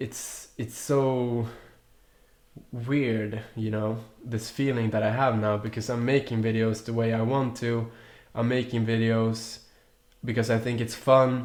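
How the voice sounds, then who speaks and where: A man with a Swedish accent and a medium-pitched voice speaks in a monotone, flat way at a fairly slow pace, with long, frequent pauses and audible room echo. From Sweden, Stockholm. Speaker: youtuber. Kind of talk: casual vlog chat. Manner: halting, many restarts.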